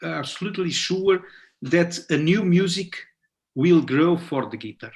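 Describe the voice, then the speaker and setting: A man with a high pitch and ordinary pitch variation talks at a fairly slow pace, his loudness swinging widely. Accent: non-native. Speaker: guitarist and conference presenter. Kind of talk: conference Q&A. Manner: halting, many fillers.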